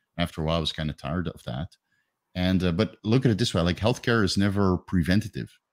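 A man with a Dutch accent speaks very fast in a very deep, low voice with vocal fry and lively intonation, recorded dry and close with no echo, very clean, over a silent background. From Netherlands. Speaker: retired bodybuilding coach and fitness YouTuber. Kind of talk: casual interview.

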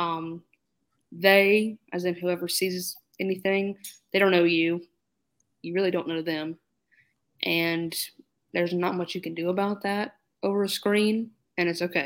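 With an American accent, a woman speaks at a fairly slow pace in a monotone, flat delivery broken by long, frequent pauses, on a very clean recording with a silent background. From North Carolina. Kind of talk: roundtable discussion.

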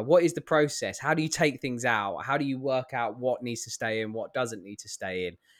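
Lively in intonation, a man speaks at a moderate pace and medium pitch in a plain, everyday voice, on a very clean recording with a silent background. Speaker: podcast co-host. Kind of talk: podcast interview.

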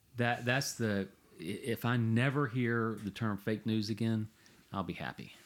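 At a fairly slow pace, a man with an unremarkable speaking voice talks in a medium pitch with fairly even intonation. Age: 50s. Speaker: podcast co-host. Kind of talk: casual discussion. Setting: home shed studio.

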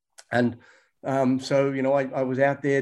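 In a very clean recording with a silent background, a man speaks at a moderate pace with an Australian accent. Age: old. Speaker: health researcher and author. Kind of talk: interview.

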